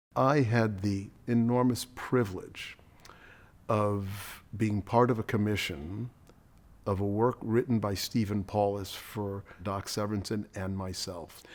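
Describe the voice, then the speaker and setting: A man with an American accent has an unremarkable speaking voice, fairly low in pitch with fairly even intonation. He talks at a fairly slow pace on a very clean recording with a silent background. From New York City, East Harlem. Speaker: orchestral trumpet player. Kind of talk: documentary interview.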